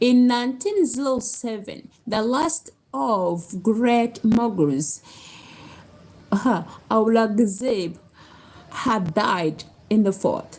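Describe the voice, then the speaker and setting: Over noticeable background noise, a woman with a non-native accent speaks at a very slow pace with long, frequent pauses. Her fairly high voice has lively intonation. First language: not English. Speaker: book reader on video channel. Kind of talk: reading aloud. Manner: halting, stumbling over words.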